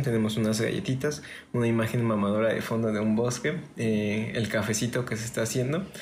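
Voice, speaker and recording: Audible room echo accompanies a man of medium pitch who speaks somewhat breathily at a fairly quick pace with fairly even intonation. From Mexico, Orizaba, Veracruz. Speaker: podcast host and musician. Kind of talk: casual chat.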